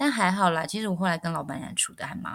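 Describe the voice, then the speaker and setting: In a very clean recording with a silent background, a woman speaks in a fairly low pitch. Her tone is animated and her intonation lively. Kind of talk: casual chat. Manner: animated, laughs often.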